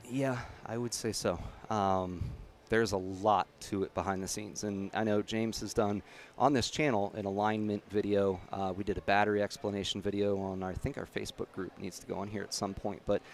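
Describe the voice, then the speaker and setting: Fairly low in pitch, a man speaks at a fairly quick pace with fairly even intonation. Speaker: karting livestream host. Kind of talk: casual livestream chat. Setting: live stream at karting track. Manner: loud.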